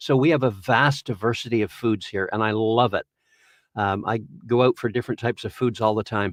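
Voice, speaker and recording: Against a quiet background with dry, close sound and no echo, a man with a normal speaking voice and a Canadian accent talks fairly quickly at a medium pitch with fairly even intonation. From Ontario, Canada. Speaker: voice actor. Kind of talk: interview conversation.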